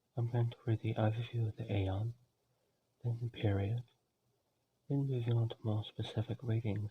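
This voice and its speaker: A soft-spoken man talks at a moderate pace and medium pitch. His voice is somewhat breathy, with monotone, flat intonation. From Australia. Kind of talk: ASMR educational reading.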